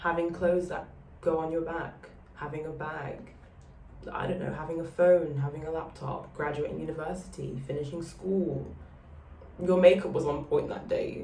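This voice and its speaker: A woman's very deep, low voice with monotone, flat intonation, big swings in loudness, a moderate pace, long, frequent pauses and audible room echo. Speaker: vlogger. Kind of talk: casual chat. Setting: outdoors on a balcony.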